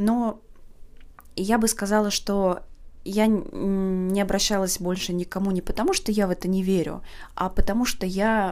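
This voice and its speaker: The tone is relaxed and the pace fairly slow. Intonation stays flat and monotone, broken by long, frequent pauses. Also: woman, medium pitch for a woman. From Saint Petersburg, Russia. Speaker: podcast host. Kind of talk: unscripted casual monologue. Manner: spontaneous, relaxed, with filler words.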